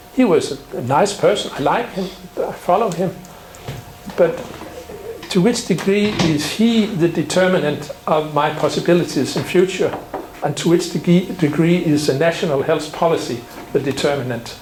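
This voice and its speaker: There is audible room echo and noticeable background noise. A man speaks at a moderate pace in a high voice with ordinary pitch variation. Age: 60s. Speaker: symposium speaker on general practice. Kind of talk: conference talk. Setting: symposium with audience.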